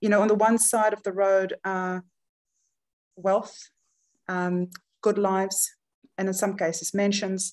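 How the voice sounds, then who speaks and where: A woman with a South African accent speaks at medium pitch and a fairly slow pace. Her intonation is monotone and flat, over a quiet background. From South Africa, Johannesburg. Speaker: charity chief executive. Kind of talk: webinar presentation. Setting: video webinar.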